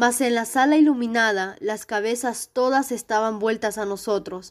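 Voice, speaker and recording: A woman's fairly high-pitched, ordinary speaking voice at a fairly slow pace with fairly even intonation, in a very clean recording with a silent background. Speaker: narrator reading a short story aloud. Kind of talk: dramatic narration, ghost story read aloud with a tense, hushed build. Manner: tense, hushed and suspenseful, slowing down for the frightening moments.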